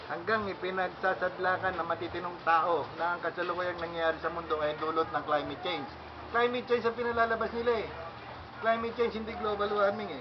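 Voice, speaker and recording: A man with a high pitch talks at a very fast pace, with ordinary pitch variation. Noticeable background noise runs underneath. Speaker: elected president of a founders council. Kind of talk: speech at a meeting. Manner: halting, with many fillers.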